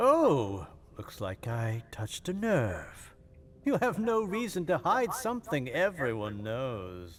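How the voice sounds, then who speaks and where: In a put-on character voice, a man talks fairly high in pitch, his pitch swinging very widely. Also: fairly slow pace. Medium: video game. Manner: sarcastic, condescending.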